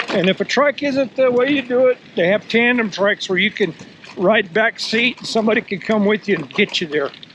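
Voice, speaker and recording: A man with a high pitch speaks at a fairly quick pace with lively intonation. The sound is dry and close with no echo, though noticeable background noise is present. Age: 60s. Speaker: vlogger. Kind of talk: casual vlog talk to camera. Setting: outdoors. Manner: animated.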